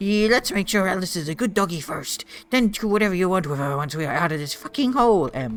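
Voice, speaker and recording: A put-on character voice, gruff and pitched in the middle range. The delivery comes at a very fast pace. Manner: rough, threatening.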